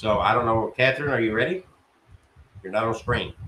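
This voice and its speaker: A man's medium-pitched voice, with normal pitch movement, comes through over noticeable background noise. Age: 60s. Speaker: spiritualist church leader. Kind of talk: talk to an online audience.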